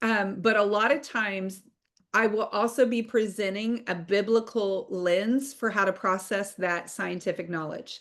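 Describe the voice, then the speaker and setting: A woman talks at a fairly slow pace in an ordinary speaking voice. Her pitch varies in an ordinary way. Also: medium pitch for a woman, quiet background. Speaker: online course instructor. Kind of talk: online class lecture.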